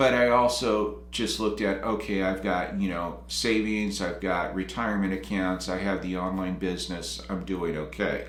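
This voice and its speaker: A man with an American accent and a very deep, low pitch, at a moderate pace with hardly any pauses, over noticeable background noise. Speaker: retirement and career coach YouTuber. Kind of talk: casual talk to camera.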